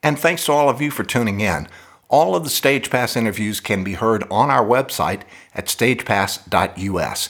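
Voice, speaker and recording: A man with a medium-pitched voice speaks at a moderate pace with lively intonation, in a normal speaking voice. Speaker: podcast host. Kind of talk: casual interview.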